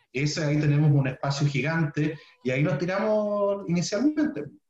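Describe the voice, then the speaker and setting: A man talks in a somewhat breathy voice. His pitch varies an ordinary amount. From southern Chile (Puerto Montt). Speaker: pharmaceutical science researcher. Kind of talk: casual interview.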